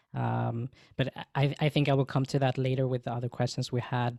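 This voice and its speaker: In a dry, close sound with no echo, a man speaks at a moderate pace with a medium pitch, a dark, mellow tone and monotone, flat intonation. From Sweden. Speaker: social media manager and podcast co-host. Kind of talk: panel Q&A. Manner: halting.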